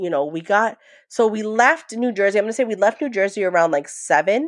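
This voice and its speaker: A woman talks in a normal speaking voice at a medium pitch. The background is quiet. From New York. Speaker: trauma survivor sharing family story. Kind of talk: testimony.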